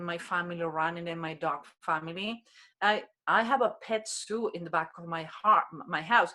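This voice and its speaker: A woman with a non-native accent speaks at a fairly low pitch in a bright, sharp tone with ordinary pitch variation. The recording is very clean, with a silent background. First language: Spanish. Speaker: human behavior expert. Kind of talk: interview.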